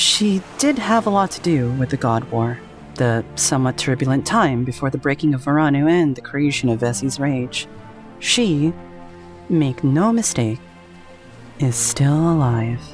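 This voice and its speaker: Music runs in the background. The speaker goes fairly slowly, with long, frequent pauses. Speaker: voice actor. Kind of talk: dramatic fantasy narration.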